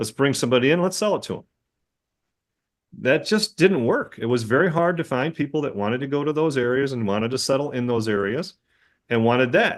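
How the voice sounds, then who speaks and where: A man's medium-pitched voice, an unremarkable speaking voice, with lively intonation, a fairly quick pace and a quiet background. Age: 60s. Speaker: dentist and practice owner. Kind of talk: casual podcast conversation.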